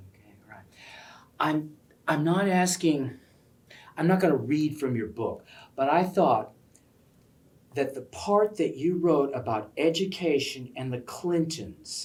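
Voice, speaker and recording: Fairly slow pace broken by long, frequent pauses. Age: 60s. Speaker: library event interviewer. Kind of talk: interview. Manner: animated.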